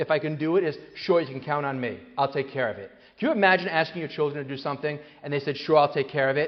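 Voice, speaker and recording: A man is speaking. He goes at a very fast pace. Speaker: psychologist and author giving a parenting talk. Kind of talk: live talk to an audience. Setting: hall with live audience. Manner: animated.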